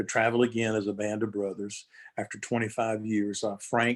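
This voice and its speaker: A man's medium-pitched voice with a Southern US accent, on a very clean recording with a silent background. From North Carolina. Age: 60s. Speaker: gospel musician. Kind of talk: interview. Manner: halting.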